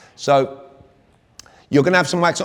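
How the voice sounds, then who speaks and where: A man with a British accent, at a fairly quick pace and with ordinary pitch variation. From Britain. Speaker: communication coach. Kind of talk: workshop talk. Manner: animated.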